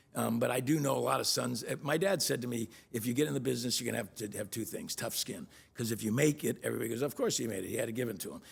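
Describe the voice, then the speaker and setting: With vocal fry, a man speaks at a medium pitch and with ordinary pitch variation. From Miami, Florida. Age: 60s. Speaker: real estate executive. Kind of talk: interview conversation. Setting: studio. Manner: halting.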